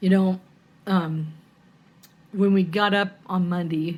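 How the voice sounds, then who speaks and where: Somewhat breathy, a woman's voice sits at a fairly low pitch. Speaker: cross stitch vlogger. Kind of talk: casual chat. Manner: hesitant, with fillers.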